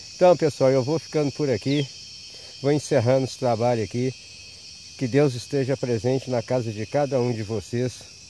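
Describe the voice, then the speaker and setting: A man at a moderate pace with long, frequent pauses, dry sound with no echo, and light background noise behind him. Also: ordinary pitch variation. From rural Ceará, northeastern Brazil. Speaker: fishing vlogger. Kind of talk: casual vlog narration. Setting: outdoors at a fishing spot at dawn. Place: waterside. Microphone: phone near.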